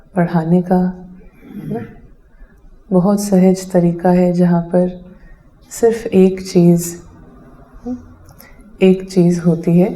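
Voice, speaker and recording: A woman's medium-pitched voice, monotone and flat, very even in loudness, with long, frequent pauses. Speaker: meditation teacher. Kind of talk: spiritual talk.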